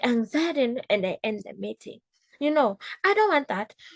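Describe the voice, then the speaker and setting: A woman with an African accent speaks at a high pitch and a moderate pace. The sound is dry and close, with no echo. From East Africa. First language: Swahili. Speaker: business coach. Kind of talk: casual talk. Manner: animated.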